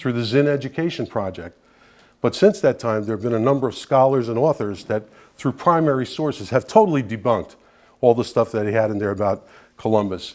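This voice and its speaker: In a Brooklyn accent, a man speaks at medium pitch and a fairly quick pace with lively intonation. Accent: New York (Brooklyn). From New York City, Brooklyn (Bensonhurst). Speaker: guest speaker, Italian-American advocate. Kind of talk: public talk to an audience. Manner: conversational, with frequent fillers.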